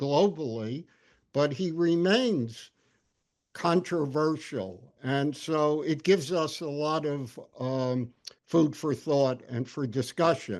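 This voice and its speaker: Against a quiet background, a man with a fairly high pitch speaks at a very slow pace with ordinary pitch variation. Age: 80s+. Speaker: professor. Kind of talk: lecture. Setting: video call. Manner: halting.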